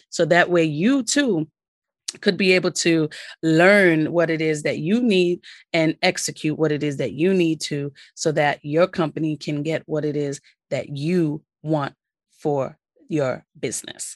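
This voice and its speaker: A woman's very deep, low voice with a New York accent, enthusiastic in tone and fairly slow, recorded dry and close with no echo against a quiet background. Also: ordinary pitch variation. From New York City, Brooklyn. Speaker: podcast host, business credit coach. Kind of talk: solo podcast, instructional talk.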